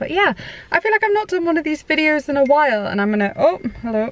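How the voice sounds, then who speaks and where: A woman speaks at a very fast pace with very wide pitch swings, in a dry, close sound with no echo. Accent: British. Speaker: parenting vlogger. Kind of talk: casual chat.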